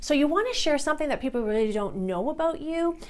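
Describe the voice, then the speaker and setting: Her tone is enthusiastic, with very wide pitch swings. The woman talks at a very fast pace. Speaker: business productivity specialist and meeting facilitator. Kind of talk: tutorial. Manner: occasional pauses and word switches. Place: studio. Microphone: lapel.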